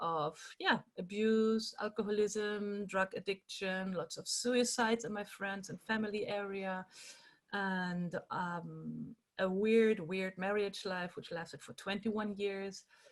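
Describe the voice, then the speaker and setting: With a German accent, a woman talks at medium pitch, her loudness making big swings. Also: fairly even intonation, fairly slow pace. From Germany. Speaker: animal rights activist and workshop leader. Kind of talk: online workshop talk.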